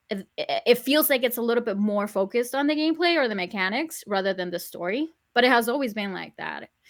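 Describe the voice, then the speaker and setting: Delivered at a very fast pace with hardly any pauses, the speech has lively intonation and a Spanish accent on a very clean recording with a silent background. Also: woman. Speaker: YouTuber, podcast guest. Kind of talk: casual chat.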